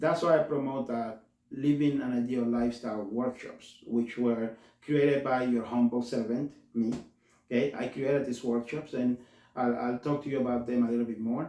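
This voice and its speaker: A man's dark, mellow voice with a Spanish accent and monotone, flat intonation. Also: medium pitch for a man. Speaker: community health worker, show host. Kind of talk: talk-show monologue. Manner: halting, self-correcting; slows down to translate.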